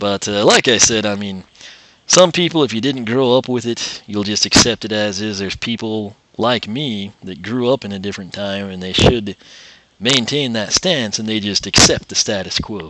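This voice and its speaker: The tone is bright and sharp, with big swings in loudness. Pace is moderate and pitch varies in an ordinary way. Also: man, fairly low pitch for a man. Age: 20s. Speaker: gaming YouTuber. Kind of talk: gameplay commentary rant. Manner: rambling, casual with filler words.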